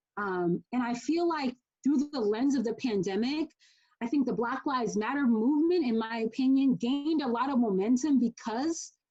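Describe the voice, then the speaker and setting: With an American accent, a woman talks in a high pitch, her pitch varying in an ordinary way. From Boston, USA. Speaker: spoken word artist. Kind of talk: casual talk to audience between poems.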